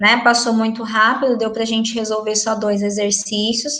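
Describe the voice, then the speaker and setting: A woman's fairly high, bright, sharp voice with monotone, flat intonation and audible room echo. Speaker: school math teacher. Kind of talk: online class lesson.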